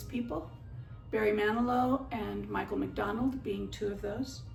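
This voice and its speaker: Over music in the background, a woman talks at a moderate pace with audible room echo. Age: 60s. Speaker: musician and educator giving a class speech. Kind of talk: persuasive speech. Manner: slightly halting, with fillers.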